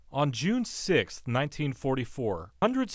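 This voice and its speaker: In a very clean recording with a silent background, a man with a fairly high pitch speaks at a moderate pace in a normal speaking voice. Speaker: TV news reporter. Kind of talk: TV news report narration.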